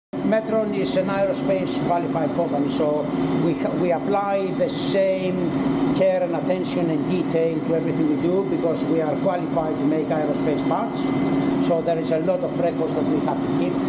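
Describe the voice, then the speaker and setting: Loud background noise is present throughout. Over it, a man speaks at a moderate pace. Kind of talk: guided tour explanation. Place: workshop. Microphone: phone near.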